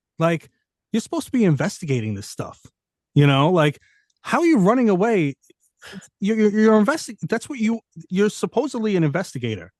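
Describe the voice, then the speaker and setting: With a strong New York accent, a man at a high pitch talks at a fairly quick pace with very wide pitch swings and long, frequent pauses, in a dry, close sound with no echo. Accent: thick New York. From New York City. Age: 40s. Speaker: correction officer and paranormal investigator. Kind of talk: casual podcast interview. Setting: studio.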